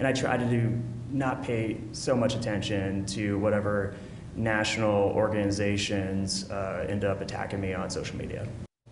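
Noticeable background noise sits behind a man who speaks at a moderate pace in a fairly low, monotone voice with flat intonation. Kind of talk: press conference answer. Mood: calm, measured, defensive. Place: hall. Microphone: podium.

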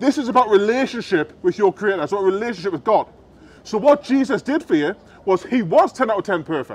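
Using lively intonation, a man talks at a fairly quick pace in a high pitch. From United Kingdom. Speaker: street preacher. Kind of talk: street preaching to a crowd. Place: street.

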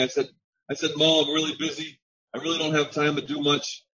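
A man's fairly high voice at a fairly quick pace, over light background noise. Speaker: network marketing member. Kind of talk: testimony. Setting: video call. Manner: animated. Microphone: video call.

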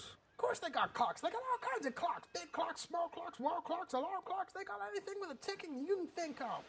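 A whiny, put-on character voice at a fairly quick pace with hardly any pauses. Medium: comedy sketch. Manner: whiny, exasperated, ranting.

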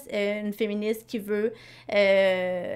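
A woman's fairly high-pitched voice with monotone, flat intonation, in a very clean recording with a silent background. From Quebec. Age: 20s. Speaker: podcast co-host, nonprofit coordinator. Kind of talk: casual chat.

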